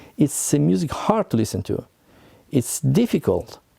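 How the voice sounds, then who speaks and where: A man's dark, mellow tone at a moderate pace. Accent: Italian. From Italy, Milan area. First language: Italian. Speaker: composer. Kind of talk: talk to camera. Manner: halting.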